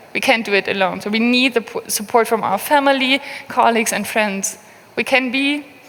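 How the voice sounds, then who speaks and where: Noticeable background noise surrounds a woman speaking at a moderate pace. Her fairly high voice shows ordinary pitch variation. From Berlin, Germany. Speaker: open source program manager. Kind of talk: conference talk.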